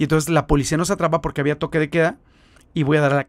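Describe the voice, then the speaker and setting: On a very clean recording with a silent background, a man with a Mexican accent speaks animatedly at a fairly high pitch. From Mexico. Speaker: missionary. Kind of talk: testimony.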